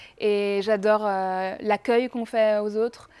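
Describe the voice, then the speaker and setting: A woman speaks in a fairly high voice. Her intonation is monotone and flat. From Brittany, France (Rennes). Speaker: singer. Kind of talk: casual interview. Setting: bar. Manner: hesitant, many fillers.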